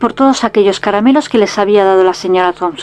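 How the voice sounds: Reading done in a natural voice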